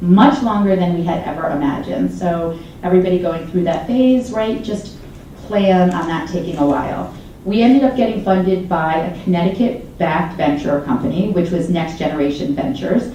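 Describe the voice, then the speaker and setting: A woman of medium pitch speaks with an animated tone and lively intonation, amid audible room echo and noticeable background noise. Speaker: startup founder. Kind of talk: fireside chat interview. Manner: fast.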